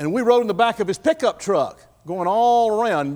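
Speaking at a moderate pace, a man talks with a Texan accent. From Texas, Fayette County. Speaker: guest speaker at a church. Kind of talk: sermon. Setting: church.

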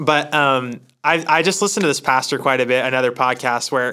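A man with an American accent talks at a moderate pace in a bright, sharp tone, his pitch fairly high and his intonation fairly even. The recording is very clean, with a silent background. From Oregon, US Northwest. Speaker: church staff member, pastors' son. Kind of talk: casual chat.

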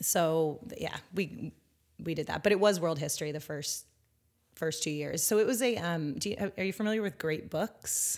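Her pace is moderate. The woman's pitch is fairly low, with ordinary pitch variation. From Northern California. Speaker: educator and former school principal. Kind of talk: interview conversation.

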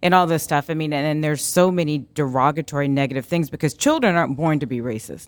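A woman with an American accent speaks at a very deep, low pitch with fairly even intonation. The recording is very clean, with a silent background. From Arizona, US. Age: 40s. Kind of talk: casual interview chat.

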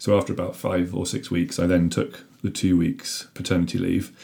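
A man with a British accent, very deep and low in pitch, somewhat breathy, at a moderate pace with ordinary pitch variation. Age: 30s. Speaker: father talking about parental leave. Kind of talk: casual chat. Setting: in person at home.

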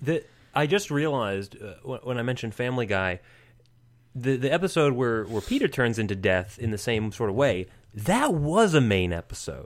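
In a very clean recording with a silent background, a man speaks at a moderate pace with a medium pitch. He has a normal speaking voice and lively intonation. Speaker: podcast co-host. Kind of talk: casual chat.

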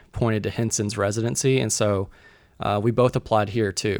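Spoken in a Southern US accent at a fairly quick pace with fairly even intonation, the clip has a dry, close sound with no echo and a very clean recording with a silent background. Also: man. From Mississippi, US South. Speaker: guest, church resident. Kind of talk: casual interview chat.

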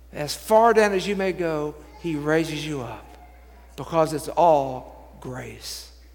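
A man speaks very slowly at a fairly high pitch, with ordinary pitch variation. Room echo is audible. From Texas, Dallas. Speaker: bishop. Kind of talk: sermon.

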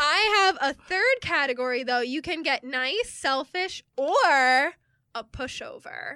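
A woman with a high pitch uses a raised, projected voice. She speaks at a very slow pace. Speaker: podcast co-host. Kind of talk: casual chat.

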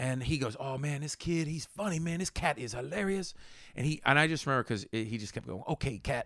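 In an American accent, a man with an unremarkable speaking voice and a fairly high pitch talks at a fairly quick pace with ordinary pitch variation, on a very clean recording with a silent background. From Pittsburgh, Pennsylvania (Homestead). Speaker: stand-up comedian and actor. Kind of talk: casual chat.

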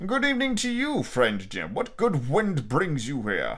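Using a put-on character voice, a man speaks fairly slowly at a fairly high pitch, with a fairly bright tone and very wide pitch swings.

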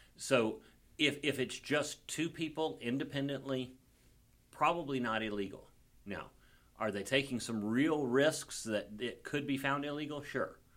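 This man talks at a fairly slow pace in a strong Southern US accent. His pitch is fairly high, with ordinary variation. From Mississippi. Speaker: comedian and defense attorney. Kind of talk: casual chat.

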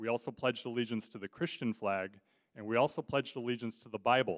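A man with a Californian accent speaks at medium pitch. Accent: Californian American English. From Southern California, Orange County. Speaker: guest preacher. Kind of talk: sermon. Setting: church.

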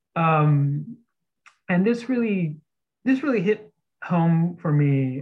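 A somewhat breathy man's voice with an American accent. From Texas, outside San Antonio. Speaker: seminary director and author. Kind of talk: interview conversation.

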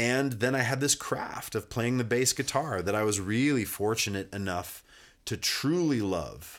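A man speaks at medium pitch and a fairly slow pace in an ordinary speaking voice. The recording is very clean, with a silent background. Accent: American. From US, rural Montana (Kalispell). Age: 40s. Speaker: musician. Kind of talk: casual chat. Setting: studio.

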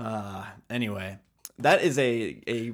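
A man is speaking. His pitch is medium. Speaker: podcast co-host. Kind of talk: casual chat. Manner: animated.

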